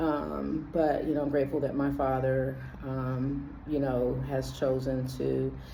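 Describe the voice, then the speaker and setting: A woman at a fairly slow pace, hardly any pauses, very even loudness, and noticeable background noise. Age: 50s. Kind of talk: casual talk to camera. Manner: hesitant, reflective.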